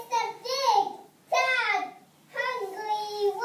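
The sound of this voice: An unforced reading voice carries the whole clip.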